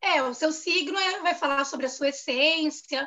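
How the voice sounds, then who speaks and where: A woman in a raised, projected voice. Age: 30s. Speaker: journalist. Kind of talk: casual chat.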